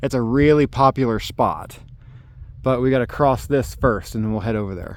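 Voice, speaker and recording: With an American accent, a man talks at a moderate pace. His pitch sits in the medium range and varies in an ordinary way. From US Midwest. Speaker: travel vlogger. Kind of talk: travel vlog narration. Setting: outdoors on a desert trail.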